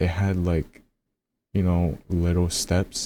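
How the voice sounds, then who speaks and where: Soft-spoken, a man talks in a very deep, low voice with a dark, mellow tone. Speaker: music reaction youtuber. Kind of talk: album review commentary. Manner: casual.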